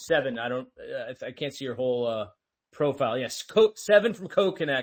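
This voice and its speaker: In a plain, everyday voice, a man with an American accent talks at a fairly quick pace, fairly high in pitch with lively intonation. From United States. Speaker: host of a crypto audio space. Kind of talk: casual panel discussion. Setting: online audio space.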